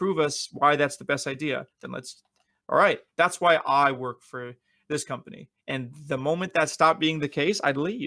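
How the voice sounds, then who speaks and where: A man's fairly high, bright, sharp voice at a moderate pace, with ordinary pitch variation and big swings in loudness. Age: 30s. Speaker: esports executive. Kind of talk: interview. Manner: animated.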